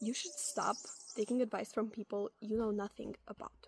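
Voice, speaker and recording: A woman with a non-native accent speaks at a fairly high pitch. The sound is dry and close with no echo, though background noise is noticeable. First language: not English. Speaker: advice video creator. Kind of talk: casual advice monologue. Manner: conversational with fillers and self-corrections.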